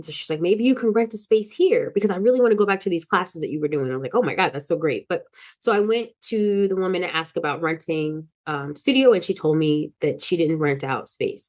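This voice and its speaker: A woman's unremarkable speaking voice, medium in pitch, at a fairly quick pace with lively intonation and hardly any pauses. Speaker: wellness teacher and vlogger. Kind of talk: personal vlog monologue. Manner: casual, with many fillers.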